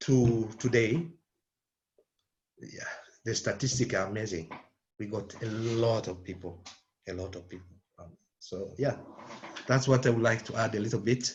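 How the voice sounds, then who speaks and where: A non-native accent carries ordinary pitch variation, somewhat breathy delivery and big swings in loudness. The pace is moderate, with long, frequent pauses. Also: man, medium pitch for a man. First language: not English. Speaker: refugee support worker. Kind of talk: webinar discussion.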